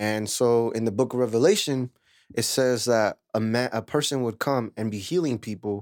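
Recorded very cleanly against a silent background, an ordinary speaking voice with an American accent moves at a moderate pace with ordinary pitch variation. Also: man, medium pitch for a man. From California Central Valley, Lemoore. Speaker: musician and audio engineer. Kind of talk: casual chat.

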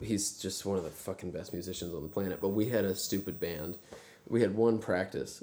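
A man's very deep, low voice with a dark, mellow tone, in a Texan accent, at a fairly quick pace with fairly even intonation, amid audible room echo. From US South, Texas (rural Brazoria County south of Houston). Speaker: singer-songwriter and pianist. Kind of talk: casual chat. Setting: backstage dressing room.

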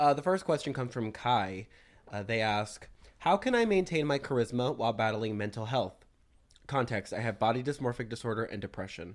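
A man speaks in a normal speaking voice at medium pitch. His pace is fairly quick, with lively intonation. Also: very clean recording, silent background. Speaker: news segment presenter. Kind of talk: casual podcast chat.

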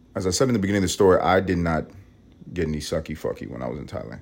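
A man with a New York accent talks at a very fast pace. His voice has vocal fry and ordinary pitch variation. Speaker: podcast host. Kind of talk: casual monologue. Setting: at home, alone. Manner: medium volume, low-key.

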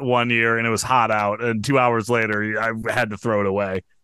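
A man with a plain, everyday voice talks at a medium pitch and moderate pace. The recording is very clean, with a silent background. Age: 40s. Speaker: former stand-up comedian. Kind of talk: casual chat.

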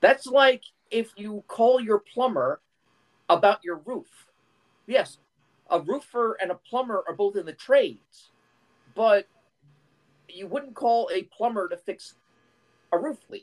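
A fairly slow pace broken by long, frequent pauses. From Philadelphia, US. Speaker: software developer. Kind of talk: heated debate.

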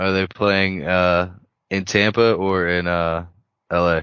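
A man speaks with a very deep, low pitch. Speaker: podcast co-host. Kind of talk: casual chat. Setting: video call.

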